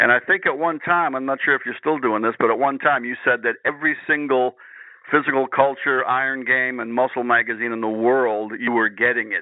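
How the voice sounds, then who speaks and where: At a fairly quick pace, a man with a plain, everyday voice speaks at a medium pitch with fairly even intonation. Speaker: strength coach and radio host. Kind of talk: interview.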